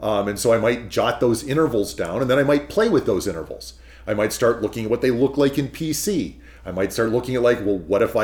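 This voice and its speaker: With an American accent, a man talks fairly quickly at medium pitch, showing ordinary pitch variation and vocal fry. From California. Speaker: pianist and piano commissioner. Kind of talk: interview.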